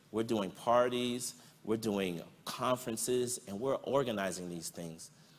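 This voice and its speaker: Audible room echo surrounds a man of medium pitch who speaks at a moderate pace with ordinary pitch variation. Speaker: prevention professional. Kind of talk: conference talk.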